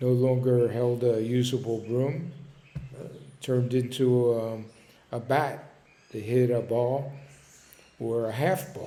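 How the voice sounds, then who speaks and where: With an American accent, a man with a dark, mellow tone and medium pitch talks at a very slow pace, leaving long, frequent pauses, his loudness swinging widely while his intonation stays fairly even, all with audible room echo. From Philadelphia, North Philly. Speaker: storyteller. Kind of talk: personal reminiscence monologue. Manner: hesitant, with fillers.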